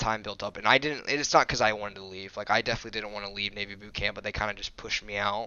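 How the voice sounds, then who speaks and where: A man talks at a very fast pace. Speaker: gaming YouTuber. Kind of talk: casual vlog rant. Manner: monotone.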